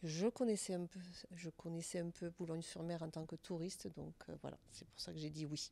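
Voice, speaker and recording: At a moderate pace, a woman talks in a fairly low, dark and mellow voice with fairly even intonation. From southern France, Albi. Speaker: senior residence director. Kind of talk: interview.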